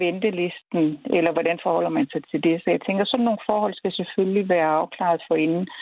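A woman speaks in a normal speaking voice at a medium pitch with ordinary pitch variation. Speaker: medical professor and ethics council chair. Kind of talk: expert interview.

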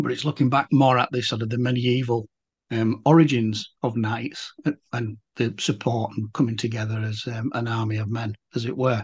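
At a moderate pace, a man talks in a somewhat breathy, medium-pitched voice whose intonation stays fairly even. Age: 50s. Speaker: podcast host and volunteer. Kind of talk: casual interview chat.

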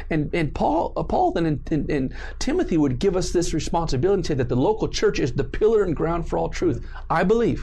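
Amid audible room echo, a man with an American accent speaks at a fairly quick pace. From Southern California. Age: 40s. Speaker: pastor. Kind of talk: casual interview with preaching.

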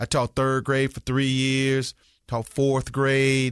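Fairly slow speech in a Southern US accent against a quiet background. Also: man. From US South. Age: 50s. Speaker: school principal. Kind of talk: interview conversation.

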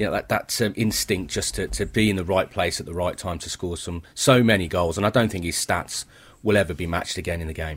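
A man talks at a fairly quick pace with a very deep, low pitch. His voice is somewhat breathy. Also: ordinary pitch variation, very clean recording, silent background. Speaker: football journalist. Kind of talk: analysis and opinion.

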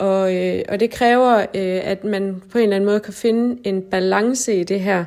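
This woman has a normal speaking voice at a medium pitch, with fairly even intonation. She talks at a fairly slow pace with hardly any pauses. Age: 30s. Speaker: nurse. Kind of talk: documentary interview.

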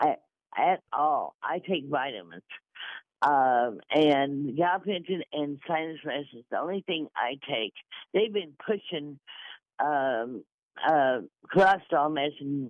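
Pausing long and often, a woman with a very deep, low pitch talks at a fairly slow pace with lively intonation. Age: 60s. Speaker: caller. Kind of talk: call-in question. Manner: halting.

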